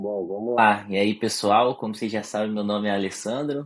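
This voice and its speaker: Fairly low male voice at a moderate pace, the sound dry and close with no echo. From interior of Paraná, Brazil. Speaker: writer and immigrant. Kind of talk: casual chat.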